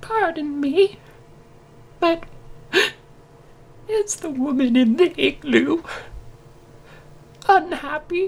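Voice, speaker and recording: A put-on character voice rises to an extremely high pitch. It moves at a very slow pace with long, frequent pauses. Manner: polite, timid, earnest.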